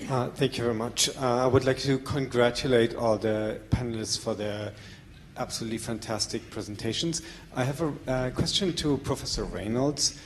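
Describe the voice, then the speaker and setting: A man's medium-pitched voice with a German accent over noticeable background noise. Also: ordinary pitch variation, moderate pace. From Germany. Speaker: audience member asking a question. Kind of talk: audience question. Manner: halting.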